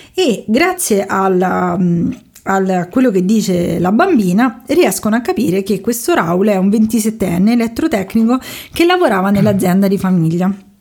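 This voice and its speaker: With a somewhat breathy voice and lively intonation, the woman talks at a moderate speed. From Rome, Italy. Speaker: podcast host. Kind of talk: storytelling.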